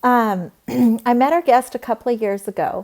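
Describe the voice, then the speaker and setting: This woman has a fairly high pitch and an ordinary speaking voice. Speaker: interview host. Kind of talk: show introduction.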